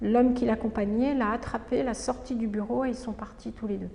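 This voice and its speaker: A woman speaks in a high pitch with fairly even intonation. Noticeable background noise runs behind her. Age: 60s. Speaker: retired doctor. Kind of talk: testimony. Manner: halting, frequent hesitations.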